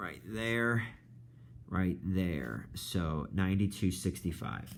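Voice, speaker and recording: The voice moves at a very slow pace with lively intonation and audible room echo. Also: man. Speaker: high school math teacher. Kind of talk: lecture. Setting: recorded video lesson.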